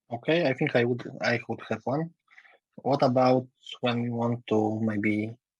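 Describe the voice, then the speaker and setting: The speaker uses fairly even intonation with a Polish accent. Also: man. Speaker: meeting participant. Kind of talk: Q&A in online meeting. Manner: halting, hesitant.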